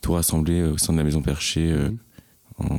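In a very deep, low pitch and a dark, mellow tone, a man speaks at a moderate pace with fairly even intonation. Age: 20s. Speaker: mental health association co-founder. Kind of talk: casual interview. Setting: at home in his apartment.

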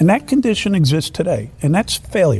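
An American-accented man at a very fast pace, very wide pitch swings, noticeable background noise. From New York City. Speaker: former police chief and mayoral candidate. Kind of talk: political roundtable discussion. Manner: hesitant, many fillers.

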